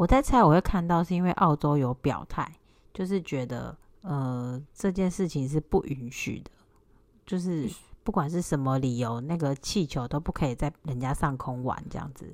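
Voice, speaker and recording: A woman speaks at a moderate pace with a very deep, low pitch. Her intonation is lively. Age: 30s. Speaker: podcast co-host, housewife. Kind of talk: casual chat. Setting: remote recording with co-host.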